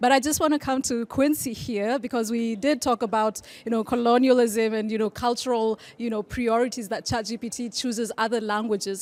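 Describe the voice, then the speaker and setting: Against a silent background in a very clean recording, a woman talks at a fairly quick pace. Her pitch is fairly high, with ordinary variation. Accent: Kenyan. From Kenya. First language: Kikuyu. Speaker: debate moderator. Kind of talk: panel debate.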